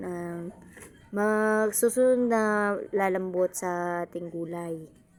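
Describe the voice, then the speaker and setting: This is a woman speaking. Her pitch is medium. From Visayas, Philippines. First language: Cebuano/Bisaya (speaking Tagalog). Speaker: cooking vlogger. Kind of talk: cooking tutorial vlog. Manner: halting, self-correcting.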